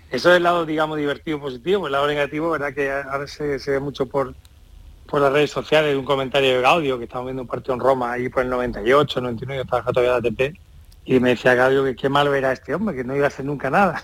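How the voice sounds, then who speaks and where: A man speaks at a very fast pace in a fairly high pitch. His intonation stays fairly even. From Andalusia, Jerez. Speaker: tennis communication professional. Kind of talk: radio interview.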